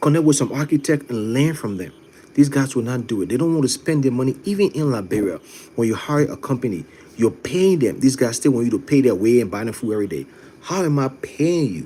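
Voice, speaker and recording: A man speaks at a very fast pace in a dark, mellow tone, his intonation lively. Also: medium pitch for a man. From Ghana. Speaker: live stream host and construction business owner. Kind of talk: live stream chat reading viewer comments. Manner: animated.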